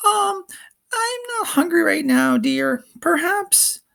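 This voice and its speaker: In a put-on character voice, someone speaks at a very slow pace, squeaky and with a nervous tone. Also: man, extremely high pitch for a man. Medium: read story. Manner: nervous, yelping.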